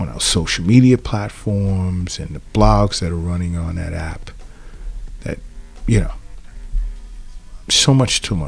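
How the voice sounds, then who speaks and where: There is noticeable background noise. Over it, a man speaks at a fairly low pitch. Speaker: acupuncturist podcast host. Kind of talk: podcast monologue. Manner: casual, with fillers and restarts.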